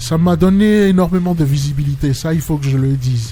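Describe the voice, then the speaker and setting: With music playing behind him, a man talks in a room that has an audible echo. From Benin, Cotonou. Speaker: singer. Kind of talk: interview. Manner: halting.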